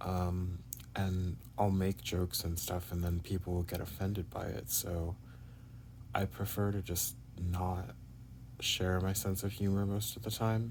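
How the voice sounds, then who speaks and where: A man with a very deep, low pitch and a somewhat breathy voice speaks at a fairly slow pace with ordinary pitch variation. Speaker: vlogger. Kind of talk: personal video diary. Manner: halting, many fillers.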